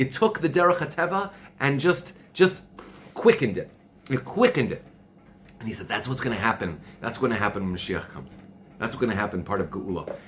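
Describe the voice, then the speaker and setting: The speaker goes at a fairly quick pace with long, frequent pauses, big swings in loudness and very wide pitch swings. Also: man, medium pitch for a man. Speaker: Torah teacher. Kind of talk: religious class. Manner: loud, passionate; repetitive, stammering.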